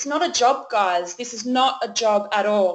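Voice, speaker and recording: A woman speaks with an Australian accent. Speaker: network marketing leader hosting a webinar. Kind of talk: webinar presentation. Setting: online webinar call.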